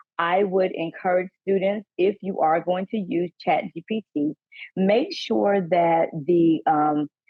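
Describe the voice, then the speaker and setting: A fairly low-pitched woman with a Southern US accent and ordinary pitch variation. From US South. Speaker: panelist, college staff trainer. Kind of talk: workshop presentation.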